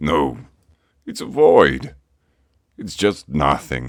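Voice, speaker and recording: In a cartoonish character voice, a man speaks very slowly with a raspy, very deep, low pitch. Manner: formal, ceremonious.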